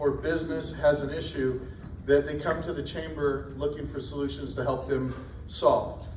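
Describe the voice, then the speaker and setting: Noticeable background noise and audible room echo accompany a man speaking at a moderate pace with an American accent. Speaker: chamber of commerce event emcee. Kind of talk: event announcements. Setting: stage with audience.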